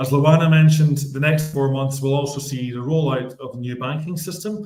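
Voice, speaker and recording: In a Scottish accent, a man speaks at a moderate pace with fairly even intonation. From Scotland. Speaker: bank executive. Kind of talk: business report. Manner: formal, scripted.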